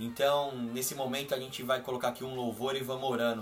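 A man with a medium-pitched voice talks in a flat monotone, with audible room echo and noticeable background noise. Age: 30s. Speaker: podcast co-host.

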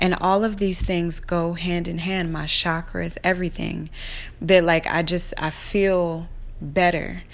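A woman's fairly low, monotone voice with flat intonation, at a fairly slow pace, with audible room echo. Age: 30s. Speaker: podcast host, tarot reader and astrologer. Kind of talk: casual monologue. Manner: conversational with many fillers.

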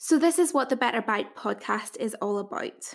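The speaker has a Northern Irish accent, in a very clean recording with a silent background. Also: woman. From Northern Ireland. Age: 20s. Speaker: dietitian and podcast host. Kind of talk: scripted-style solo podcast introduction.

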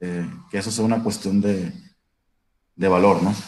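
There's audible room echo as a man speaks at a fairly slow pace with fairly even intonation. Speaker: labor lawyer. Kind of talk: casual discussion.

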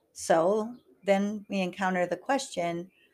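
On a very clean recording with a silent background, a woman uses an ordinary speaking voice at medium pitch with ordinary pitch variation. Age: 50s. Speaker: life coach and podcast host. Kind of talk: solo podcast monologue.

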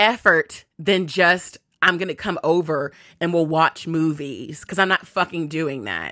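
A woman puts on a raspy character voice at a fairly low pitch and a moderate pace. The sound is dry and close with no echo, on a very clean recording with a silent background. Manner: irritated.

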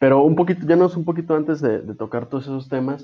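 A man speaks with a Mexican accent. His pace is very fast. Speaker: podcast host. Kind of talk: casual chat.

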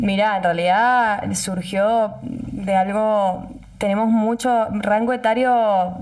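Audible room echo surrounds a woman whose voice is somewhat breathy. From Argentina, Mendoza (Tupungato). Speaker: wine festival queen, journalist. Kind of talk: casual interview.

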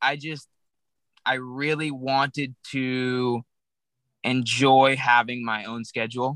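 A man's bright, sharp, medium-pitched voice with an American accent, monotone and flat, very slow with long, frequent pauses, on a very clean recording with a silent background. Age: young. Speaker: fishing guide and business owner. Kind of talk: casual interview chat.

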